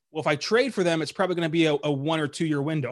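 Speaking with an American accent, a man uses a fairly high pitch and ordinary pitch variation. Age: 20s. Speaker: sports podcaster. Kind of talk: casual chat. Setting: call.

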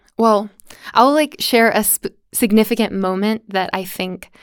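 In a very clean recording with a silent background, a woman with an American accent and an unremarkable speaking voice talks at a fairly slow pace, her fairly high pitch carrying fairly even intonation. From USA. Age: 20s. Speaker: dance teacher. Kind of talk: casual interview.

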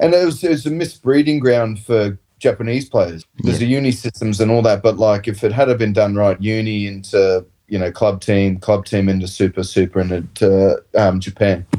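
In an Australian accent, a man speaks at a moderate pace with hardly any pauses. His fairly low voice has a dark, mellow tone and ordinary pitch variation. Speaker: professional rugby player. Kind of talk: casual chat. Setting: video call.

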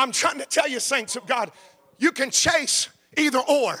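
In an American accent, a man uses a raised, projected voice with a bright, sharp tone, an animated delivery and an extremely high pitch, all in a dry, close sound with no echo. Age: 50s. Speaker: pastor. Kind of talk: sermon.

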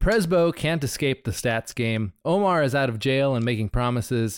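A plain, everyday voice with lively intonation sounds dry and close with no echo on a very clean recording with a silent background. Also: man. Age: 40s. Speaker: podcast co-host. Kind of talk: casual chat.

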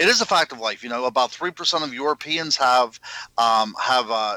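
A man's medium-pitched voice with an American accent, bright and sharp in tone, ordinary pitch variation, dry and close with no echo. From western Pennsylvania, near Pittsburgh. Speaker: paranormal investigator and author. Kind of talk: interview. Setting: remote call from home.

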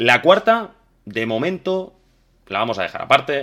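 Speaking at a moderate pace, a man uses lively intonation and a bright, sharp tone on a very clean recording with a silent background. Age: 30s. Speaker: podcast host. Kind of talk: casual chat. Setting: live stream.

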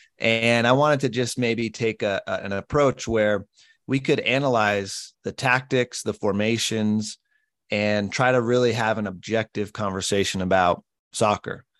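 In a normal speaking voice, a man talks at a moderate pace and medium pitch with fairly even intonation, recorded dry and close with no echo against a quiet background. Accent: General American. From Colorado. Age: 30s. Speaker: podcast host and former college soccer player. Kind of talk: casual chat.

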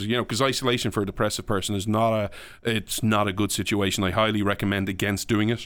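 In a very clean recording with a silent background, a man with an Irish accent and a fairly low pitch speaks at a very fast pace. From Ireland. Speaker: podcast guest and public speaker. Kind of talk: casual interview. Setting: studio.

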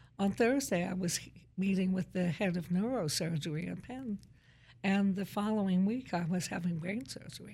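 At a moderate pace, a woman speaks in a somewhat breathy, dark and mellow voice of medium pitch with ordinary pitch variation. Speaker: college president. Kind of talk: casual interview. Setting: studio.

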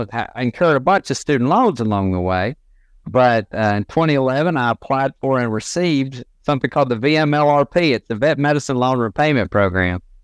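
A man in a Southern US accent talks at a medium pitch and fairly quick pace with ordinary pitch variation, over a quiet background with a dry, close sound and no echo. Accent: Southern US (Georgia). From Northwest Georgia, US South. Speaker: veterinarian. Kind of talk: interview, casual technical explanation.

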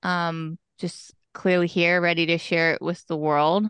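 In a quiet background with a dry, close sound and no echo, a woman with an American accent and a plain, everyday voice speaks at a fairly slow pace and fairly low pitch. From Pennsylvania (East Stroudsburg, Poconos). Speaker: fitness and wellness coach. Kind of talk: casual interview.

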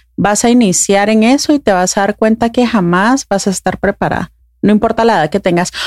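The sound is dry and close, with no echo. A woman with a normal speaking voice talks at a medium pitch and a moderate pace, with ordinary pitch variation. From Guatemala. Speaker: podcast host, mother. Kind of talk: casual interview conversation.

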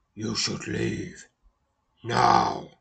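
A man puts on a character voice. It is raspy and growling. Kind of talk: commanding, hostile. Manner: growling, menacing.

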